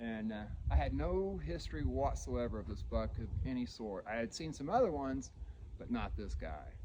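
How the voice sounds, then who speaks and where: A man speaks at a moderate pace with an American accent. Room echo is audible. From Indiana, US Midwest. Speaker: deer hunter. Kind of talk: casual first-person hunting story told on location. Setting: outdoors in the woods at the tree stand. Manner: casual, halting with fillers and repeats.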